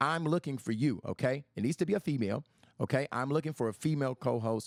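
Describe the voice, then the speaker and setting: On a very clean recording with a silent background, a man talks at a very fast pace in a fairly high pitch with vocal fry, the sound dry and close with no echo. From US inner city. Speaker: podcast host. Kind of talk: livestream monologue. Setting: Facebook live stream.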